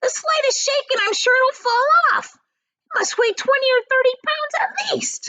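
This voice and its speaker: Shouting in a squeaky, extremely high put-on character voice, a woman speaks at a moderate pace. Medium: read story. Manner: sharp, shouting.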